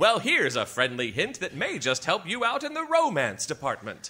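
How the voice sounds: A man does a put-on character voice, high in pitch with a bright, sharp tone. His pitch swings very widely. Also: moderate pace.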